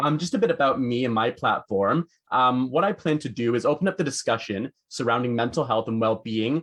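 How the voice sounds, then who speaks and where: A man with a Canadian accent talks at a very fast pace. His pitch is medium and his intonation lively. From Canada. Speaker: podcast host. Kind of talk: podcast interview.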